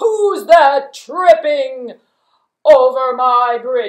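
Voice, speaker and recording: A woman's cartoonish character voice, high-pitched and very slow. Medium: puppet.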